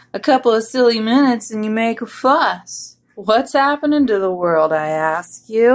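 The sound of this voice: With lively intonation, an unforced reading voice comes through against a quiet background.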